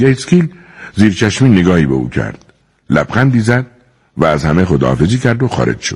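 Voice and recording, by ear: With a quiet background, the speaker reads aloud in a natural voice.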